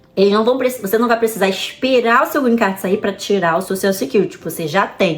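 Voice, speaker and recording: A woman speaks at a fairly quick pace in a medium pitch with hardly any pauses. Her tone is animated and her intonation lively. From Brazil, Rio de Janeiro. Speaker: vlogger. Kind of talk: casual advice vlog. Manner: fast.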